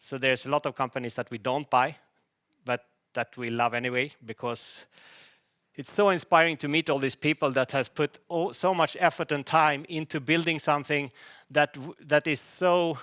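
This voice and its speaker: In a dry, close sound with no echo and a silent background on a very clean recording, a man with a fairly high pitch and bright, sharp tone talks at a moderate pace with ordinary pitch variation. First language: Swedish. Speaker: company CEO presenting to investors. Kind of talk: investor presentation. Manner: halting, with many false starts.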